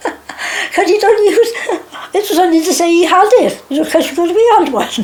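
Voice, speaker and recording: A woman's extremely high-pitched voice with lively intonation at a moderate pace, over noticeable background noise. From Wales. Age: 80s+. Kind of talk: oral history interview. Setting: home.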